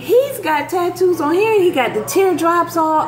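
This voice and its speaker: A woman speaks at an extremely high pitch and a fairly slow pace. Clear music plays in the background. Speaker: vlogger. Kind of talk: casual vlog chat. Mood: puzzled, amused. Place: kitchen. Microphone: phone near.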